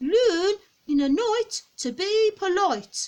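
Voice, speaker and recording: Loud and squeaky, a woman's put-on character voice sits at an extremely high pitch, with very wide pitch swings and a very slow pace. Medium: read story. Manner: loud, shouting.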